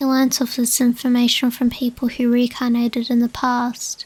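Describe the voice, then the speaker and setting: A soft-spoken woman talks at a high pitch, recorded with a dry, close sound and no echo. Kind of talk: ASMR dream diary reading.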